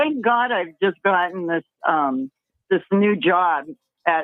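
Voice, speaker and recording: The delivery is fairly slow. Its intonation is lively. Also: woman. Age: 60s. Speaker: caller. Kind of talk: casual chat. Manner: animated.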